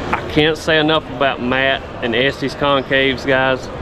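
A man talks at a fairly slow pace. Clear background noise runs underneath.

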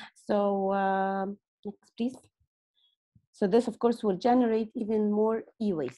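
A woman speaks very slowly at a medium pitch, with ordinary pitch variation. Her tone is dark and mellow, and the background is quiet. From Egypt. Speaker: project coordinator. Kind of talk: conference presentation. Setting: video call. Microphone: video call.

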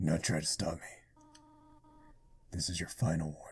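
With a very deep, low pitch, a man performs a put-on character voice. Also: moderate pace. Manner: threatening, warning.

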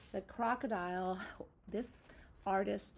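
A woman speaks very slowly with fairly even intonation. Her tone is dark, mellow, and somewhat breathy. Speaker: teacher. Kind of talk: craft tutorial for young children. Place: classroom. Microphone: phone near.

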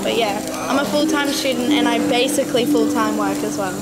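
A woman's voice against loud background noise. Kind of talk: casual conversation. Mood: cheerful, laughing. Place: bar. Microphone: camera far.

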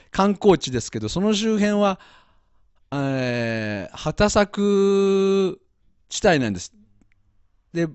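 A high-pitched male voice, very slow, with long, frequent pauses, big swings in loudness and lively intonation. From Japan, Nagoya. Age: 50s. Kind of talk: live-stream interview.

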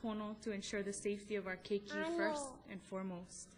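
A woman with a Hawaiian accent over light background noise. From Kauai, Hawaii. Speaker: mother. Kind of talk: public testimony to county council. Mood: earnest, emotional. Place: hall. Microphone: podium.

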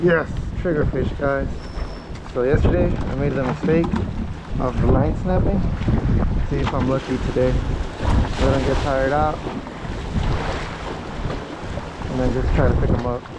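Loud background noise runs under a dry sound with no echo. The speech has long, frequent pauses. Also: moderate pace. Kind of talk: casual vlog chat. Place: waterside. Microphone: phone near.

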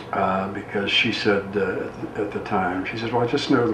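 A man's voice is accompanied by noticeable background noise. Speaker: guest. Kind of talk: interview answer. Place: studio.

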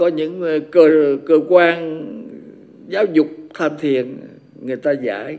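Noticeable background noise accompanies a man talking at a fairly high pitch. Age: 80s+. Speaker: Buddhist monk teacher. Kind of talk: dharma talk. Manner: halting.

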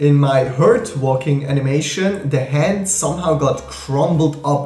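A man talks with ordinary pitch variation. Faint music plays behind him, and the room echo is audible. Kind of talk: casual tutorial vlog. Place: home room.

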